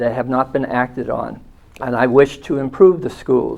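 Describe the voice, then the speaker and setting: This is a man speaking at medium pitch. He talks with an American accent. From Massachusetts, Holbrook. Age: 60s. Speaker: school committee candidate, retired physician assistant. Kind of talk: campaign statement. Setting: studio. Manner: hesitant, with fillers.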